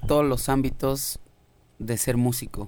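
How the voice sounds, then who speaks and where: This is a man speaking. He has a Mexican accent. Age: 20s. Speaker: musician. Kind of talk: casual chat.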